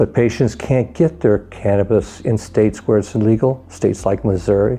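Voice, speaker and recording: A man with a normal speaking voice, fairly low pitch, lively intonation and a moderate pace. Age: 60s. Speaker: cannabis advocate facing criminal charges. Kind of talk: testimony.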